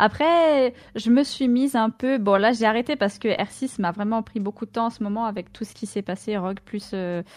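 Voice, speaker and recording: In a very clean recording with a silent background, a woman speaks at a fairly slow pace with a fairly high pitch and ordinary pitch variation. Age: 20s. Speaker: streamer and esports player. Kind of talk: casual chat.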